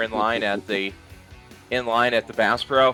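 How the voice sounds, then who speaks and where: With fairly even intonation, a man speaks while music plays in the background. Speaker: wrestling interviewer / host. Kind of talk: interview host talking to a guest and reading a sponsor ad.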